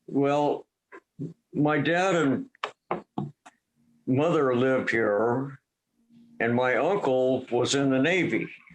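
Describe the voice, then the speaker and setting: With music in the background, a man speaks at a medium pitch with ordinary pitch variation in an American accent. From Duvall, Washington, US Pacific Northwest. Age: 70s. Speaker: retired dairy farmer. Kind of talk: oral history interview. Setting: video call. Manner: halting.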